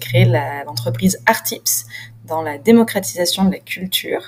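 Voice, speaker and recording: A woman speaks at a moderate pace. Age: 30s. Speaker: entrepreneur. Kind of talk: self-introduction video.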